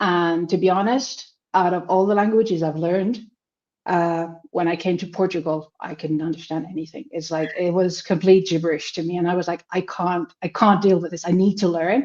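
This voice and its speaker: A woman speaks with a Finnish accent at a fairly low pitch. Her pace is moderate and her intonation fairly even. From Finland. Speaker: language student. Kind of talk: interview. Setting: livestream.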